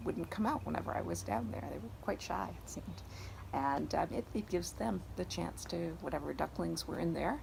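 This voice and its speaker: A woman with an upstate New York accent talks at a moderate pace over noticeable background noise. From upstate New York (Syracuse area). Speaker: garden owner. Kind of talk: interview. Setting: outdoors in a garden. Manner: halting, with many repeats and fillers.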